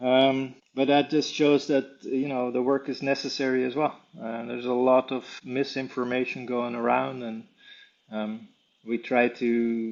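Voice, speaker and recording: A man with a Dutch accent speaks at a medium pitch in a flat, monotone delivery. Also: fairly slow pace. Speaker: wildlife tracker and conservationist. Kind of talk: interview. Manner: hesitant, many fillers.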